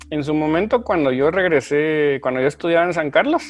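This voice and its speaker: A man's plain, everyday voice, fairly high in pitch, with ordinary pitch variation at a fairly quick pace. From Guatemala, provinces. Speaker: software consultant and lecturer. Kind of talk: interview.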